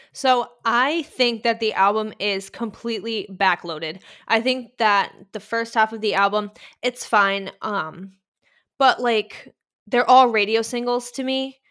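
A woman with a Boston accent speaks in an animated tone at a fairly high pitch with ordinary pitch variation. Her pace is fairly slow, and the recording is very clean with a silent background. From Boston, US. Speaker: music writer and Paramore fan. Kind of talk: casual chat. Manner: animated, excitable.

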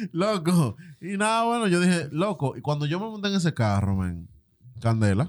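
With a Dominican accent, a man speaks in very wide pitch swings. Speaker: podcast co-host. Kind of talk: casual chat.

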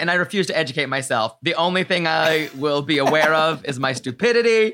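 A man with an American accent at a very fast pace, with lively intonation. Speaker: podcast host. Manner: brash, joking.

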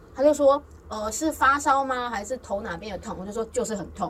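The speaker is a woman. Noticeable background noise runs behind her. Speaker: podcast host. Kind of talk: casual chat.

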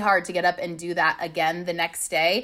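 A woman speaks loudly. She has an American accent. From California (Long Beach). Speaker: life and success coach. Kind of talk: casual interview chat.

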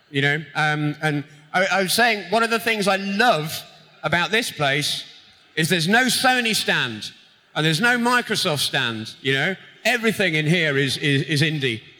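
A man with an English accent speaks at a moderate pace in a bright, sharp tone. His voice is high, and his pitch swings very widely. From Britain. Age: 40s. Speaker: video game composer. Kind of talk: stage interview. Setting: stage with audience.

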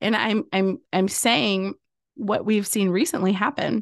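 A woman with an American accent talks in an animated tone. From US South, Louisiana. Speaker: podcast agency owner and host. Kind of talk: solo podcast monologue, motivational.

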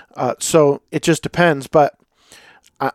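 A man with an ordinary speaking voice and fairly high pitch talks at a moderate pace, in a very clean recording with a silent background and a dry, close sound with no echo. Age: 40s. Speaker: podcast host and lawn care business owner. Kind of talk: casual solo monologue.

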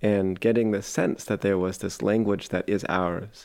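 A fairly low-pitched man with an American accent, at a moderate pace against a quiet background. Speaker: Ohlone language and food revivalist. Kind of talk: documentary interview.

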